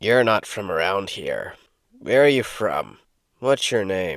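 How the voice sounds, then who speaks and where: A man puts on a raspy character voice at a medium pitch. His intonation is lively and his pace fairly slow. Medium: read story. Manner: curt, gruff.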